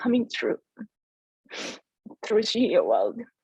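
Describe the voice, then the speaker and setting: With a Korean accent, a woman speaks in a dark, mellow tone, the sound dry and close with no echo. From South Korea. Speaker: entrepreneur. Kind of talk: testimony.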